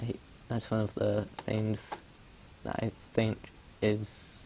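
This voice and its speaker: The speaker talks at a very slow pace. The voice is soft-spoken. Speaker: gaming streamer. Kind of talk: gameplay commentary. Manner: halting.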